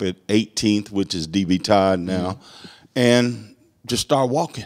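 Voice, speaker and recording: A man with a Southern US accent speaks at a fairly low pitch over a quiet background. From US South. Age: 60s. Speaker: court clerk. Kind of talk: casual interview. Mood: earnest, emphatic about history. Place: studio. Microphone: handheld.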